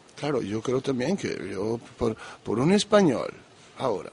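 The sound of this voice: A man's medium-pitched voice at a fairly slow pace, with big pitch swings, a husky, rough edge, vocal fry and a slightly mellow tone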